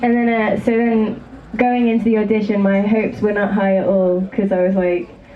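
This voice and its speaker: The voice holds very even loudness and a monotone, flat intonation, with audible room echo and noticeable background noise. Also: woman, medium pitch for a woman, moderate pace. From England. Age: 20s. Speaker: rock band drummer. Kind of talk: stage interview.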